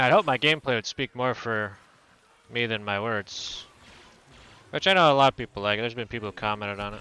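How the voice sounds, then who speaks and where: A man mumbles at a very fast pace with long, frequent pauses, in a bright, sharp tone at a medium pitch. His pitch variation is ordinary, and the sound is dry and close with no echo. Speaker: video game streamer. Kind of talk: casual live-stream commentary while gaming. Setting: live stream. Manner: mumbling; low-energy.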